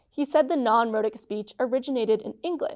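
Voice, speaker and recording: Ordinary pitch variation at a fairly quick pace. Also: woman. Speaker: public media host. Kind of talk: documentary narration.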